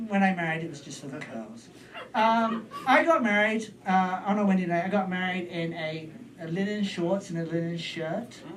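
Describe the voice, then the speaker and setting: Over noticeable background noise, a man with a British accent speaks at a moderate pace in a high voice with ordinary pitch variation and big swings in loudness. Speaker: stand-up comedian. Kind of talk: stand-up comedy storytelling.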